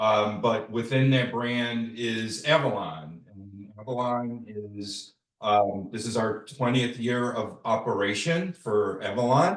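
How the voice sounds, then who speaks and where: A man's medium-pitched voice with a Chicago accent, very slow yet with hardly any pauses, ordinary pitch variation and big swings in loudness. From US Midwest, Chicago. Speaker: travel company sales manager. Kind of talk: online presentation. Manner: casual, many fillers.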